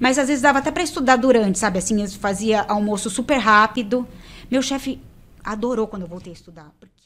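Her loudness swinging widely, a woman speaks fairly quickly at a fairly high pitch with ordinary pitch variation. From Brazil. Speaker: tax auditor, interviewee about passing civil service exams; interviewee. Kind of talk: casual interview. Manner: animated. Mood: relaxed, animated. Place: studio. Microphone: studio mic.

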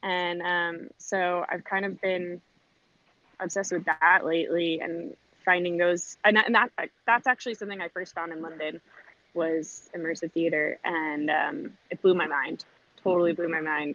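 Here a woman with a fairly low pitch and a bright, sharp tone keeps a moderate pace and ordinary pitch variation, her sound dry with no echo. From California, LA beach area. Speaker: voice actress and performer; voice actress. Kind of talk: casual interview. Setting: remote call while walking dog. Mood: enthusiastic. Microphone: video call.

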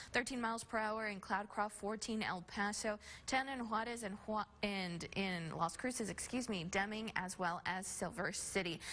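The tone is bright and sharp, the intonation fairly even, and there are hardly any pauses. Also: woman, moderate pace. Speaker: TV meteorologist. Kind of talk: weather forecast. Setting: studio. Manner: conversational. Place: studio.

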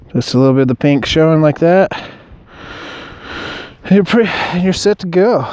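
A man speaks at a moderate pace with a fairly high pitch and lively intonation. His tone is clear, smooth and slightly mellow.

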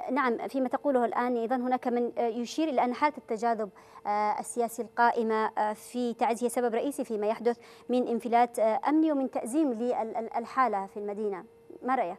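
A woman speaks in a high pitch at a moderate pace. Her pitch variation is ordinary. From Yemen. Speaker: TV talk show host. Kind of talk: televised political debate. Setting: studio. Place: studio.

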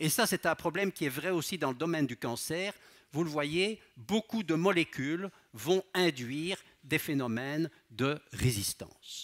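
A man's fairly high voice with a slight Belgian accent and lively intonation, at a fairly slow pace against a quiet background. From Belgium. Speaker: pharmacology professor and researcher; pharmacology professor. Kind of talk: public science lecture. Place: hall. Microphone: headset.

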